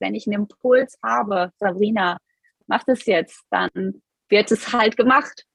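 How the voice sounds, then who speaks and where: In an unremarkable speaking voice, a woman of medium pitch talks at a fairly slow pace with fairly even intonation, the sound dry and close with no echo. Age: 30s. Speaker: business coach. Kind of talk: interview.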